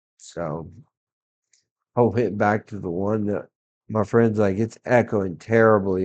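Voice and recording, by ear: Low-pitched man with a slightly mellow tone at a fairly slow pace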